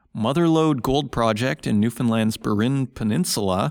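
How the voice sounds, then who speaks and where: A man with a Canadian accent has a normal speaking voice at a medium pitch. His intonation is lively, and the recording is very clean with a silent background. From Saskatchewan, Canada. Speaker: podcast host. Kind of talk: solo market commentary.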